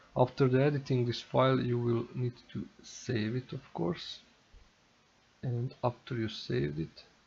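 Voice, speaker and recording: A man talks fairly slowly. His pitch is medium and varies in an ordinary way. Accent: non-native. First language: not English. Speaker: tech tutorial youtuber. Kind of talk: tutorial. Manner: halting.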